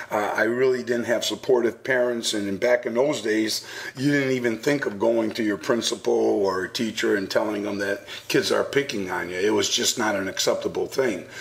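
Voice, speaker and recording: A man speaks at a moderate pace with an American accent. Noticeable background noise runs underneath. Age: 60s. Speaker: anti-bullying speaker. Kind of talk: radio interview. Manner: halting.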